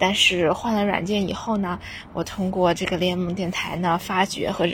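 Speaking at a moderate pace, a woman sounds somewhat breathy. Her intonation stays fairly even. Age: 20s. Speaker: university student listener. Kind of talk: recorded voice message. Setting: outdoors on school rooftop.

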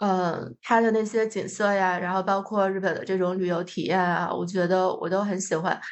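Moderate pace with hardly any pauses and monotone, flat intonation. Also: woman, medium pitch for a woman. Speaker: podcast host. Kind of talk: casual chat.

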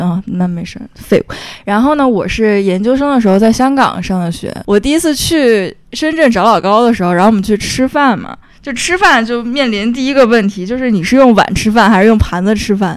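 With lively intonation, a woman talks at a fairly quick pace in a fairly high pitch. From Beijing. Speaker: podcast host. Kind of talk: casual chat. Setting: at home. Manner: animated.

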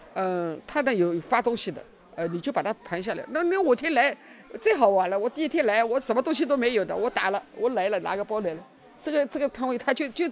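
Over noticeable background noise, a woman talks very fast at a fairly high pitch, her pitch swinging very widely. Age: 70s. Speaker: stall owner selling daily goods. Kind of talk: interview.

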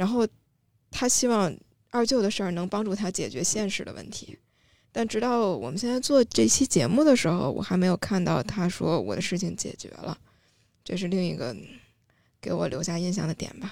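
In a very clean recording with a silent background, a woman at medium pitch talks at a moderate pace in a dark, mellow tone with vocal fry, very wide pitch swings and long, frequent pauses. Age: middle-aged. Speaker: content creator with a Chinese literature degree. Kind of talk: casual panel discussion.

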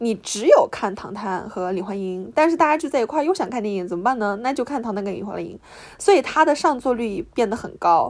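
A woman talks at a moderate pace with very wide pitch swings, in a very clean recording with a silent background. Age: young. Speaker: podcast co-host. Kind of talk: casual chat.

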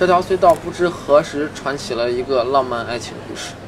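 Amid crowd noise and audible room echo, a man speaks at a moderate pace with a fairly high pitch and ordinary pitch variation. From Xi'an, China. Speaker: audio tour guide. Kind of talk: guided audio walking tour.

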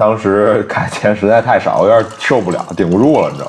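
A man talks at a moderate pace. He has a slight Beijing accent. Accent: slight Beijing accent in Mandarin. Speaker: media worker based in Hong Kong. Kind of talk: casual chat.

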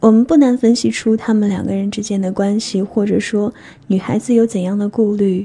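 A woman with a dark, mellow tone speaks at a medium pitch, somewhat breathy. Her pace is fairly quick and her intonation fairly even. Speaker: radio DJ. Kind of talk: scripted narration. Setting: studio. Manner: stutter.

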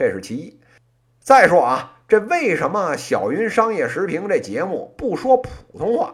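The speaker has a Beijing accent, on a very clean recording with a silent background. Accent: Beijing accent, northern Beijing variety. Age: 30s. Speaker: podcast host, business commentator. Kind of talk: casual monologue.

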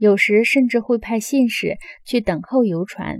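Here is a woman with a plain, everyday voice, pitched fairly high with ordinary pitch variation. The sound is dry and close, with no echo. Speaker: audiobook narrator. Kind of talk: audiobook reading of nonfiction. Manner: measured, steady, formal.

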